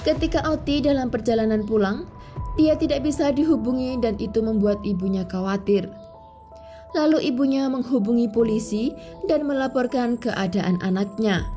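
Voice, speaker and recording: Music plays in the background as the voice moves at a moderate pace with lively intonation and very even loudness. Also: woman, fairly high pitch for a woman. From East Java, Indonesia. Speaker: true crime narrator. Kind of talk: true crime narration.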